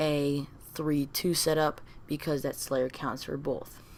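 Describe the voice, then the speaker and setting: Mumbling her words, a woman speaks in a very deep, low-pitched voice. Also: very clean recording, silent background. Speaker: gaming commentator. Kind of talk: casual talk to camera.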